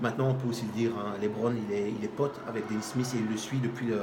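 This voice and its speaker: A man with a Charleroi accent talks at a very fast pace, with medium pitch and fairly even intonation. Music plays in the background, and there is audible room echo. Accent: Charleroi Belgian. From Belgium, Charleroi. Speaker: basketball show host. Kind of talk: casual sports debate. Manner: hesitant, many fillers.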